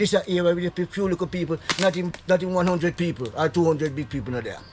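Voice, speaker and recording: A man in a Jamaican accent, high-pitched and very fast, with ordinary pitch variation over noticeable background noise. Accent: Jamaican Patois. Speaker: local resident. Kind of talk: impassioned complaint to vlogger. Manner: animated.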